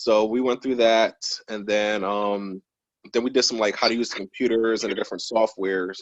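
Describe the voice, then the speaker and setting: Talking at a fairly quick pace, a man with a New Jersey accent and medium pitch keeps a monotone, flat intonation. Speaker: probation officer. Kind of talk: interview. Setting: video call.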